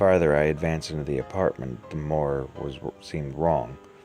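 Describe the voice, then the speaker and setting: Music plays in the background as a man with a very deep, low pitch speaks at a moderate pace. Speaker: story narrator. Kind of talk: horror story reading.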